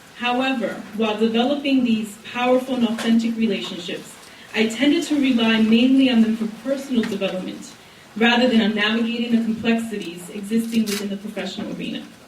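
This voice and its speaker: A woman speaks at a fairly quick pace in a fairly high pitch with fairly even intonation. Noticeable background noise and audible room echo are present. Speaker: college program director, social worker panelist. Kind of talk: prepared speech. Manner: soft-spoken.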